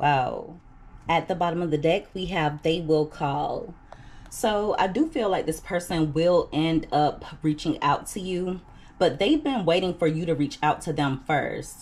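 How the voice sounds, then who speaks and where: A woman speaks at a fairly slow pace in a fairly low, somewhat breathy voice with ordinary pitch variation. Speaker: tarot reader. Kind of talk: tarot reading commentary. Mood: calm, reassuring. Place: home room.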